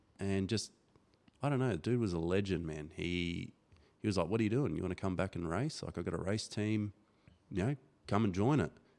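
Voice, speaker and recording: A man with an Australian accent talks at a fairly quick pace and a fairly low pitch, with long, frequent pauses. The recording is very clean, with a silent background. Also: ordinary pitch variation. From Darwin, Northern Territory, Australia. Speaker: motocross club organiser and former racer. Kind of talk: casual chat. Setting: studio.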